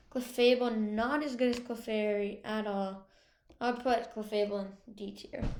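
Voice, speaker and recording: A woman speaks quietly at a fairly slow pace. Her intonation stays fairly even, with audible room echo. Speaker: gaming video creator. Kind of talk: casual tier-list commentary. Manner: quiet, slow.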